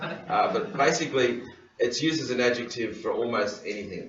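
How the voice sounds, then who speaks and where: With an Australian accent, a man talks at a moderate pace amid noticeable background noise and audible room echo. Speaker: governance trainer. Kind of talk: lecture. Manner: halting, many fillers.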